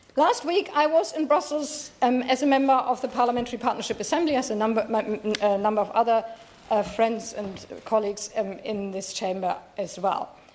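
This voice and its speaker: Noticeable background noise sits behind a woman's fairly high voice. She talks at a fairly quick pace with lively intonation. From Germany. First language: German. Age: 60s. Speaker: member of parliament. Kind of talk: parliamentary debate speech. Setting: parliament chamber. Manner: halting at times.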